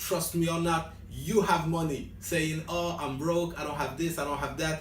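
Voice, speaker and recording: Speaking with a strong French accent, a man uses a high pitch, a moderate pace and fairly even intonation. Noticeable background noise and audible room echo fill the recording. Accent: French accent, self-described as strong. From France. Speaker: vlogger giving language tips. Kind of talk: casual vlog. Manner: hesitant.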